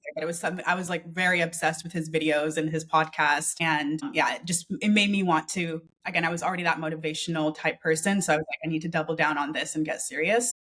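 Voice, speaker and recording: A woman with a Canadian accent, fairly low pitch, fairly even intonation and a fairly quick pace. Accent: Canadian, non-UK. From Canada, small town. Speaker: freelancer and business coach. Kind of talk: interview. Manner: casual, with fillers.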